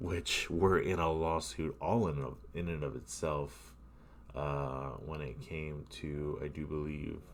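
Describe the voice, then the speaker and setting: The pace is very slow. Vocal fry runs through the voice. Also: man, very deep, low pitch for a man, ordinary pitch variation. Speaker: gamer. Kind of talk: gameplay commentary. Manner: casual, rambling.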